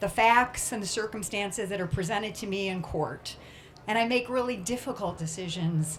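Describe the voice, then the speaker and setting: A woman at a moderate pace and medium pitch, with ordinary pitch variation and audible room echo. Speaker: judge and candidate. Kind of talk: campaign speech. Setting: stage with audience. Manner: loud.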